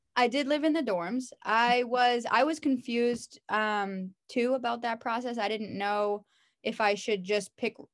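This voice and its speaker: A woman with an ordinary speaking voice talks at a fairly slow pace in a very clean recording with a silent background. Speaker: physical education teacher. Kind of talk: interview. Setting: call.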